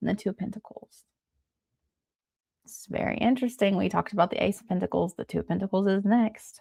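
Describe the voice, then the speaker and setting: A woman at medium pitch, with a dark, mellow tone and vocal fry, a very fast pace broken by long, frequent pauses, big swings in loudness and fairly even intonation. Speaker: tarot reader. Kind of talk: live tarot reading. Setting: live stream, early morning. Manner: casual, filler-heavy.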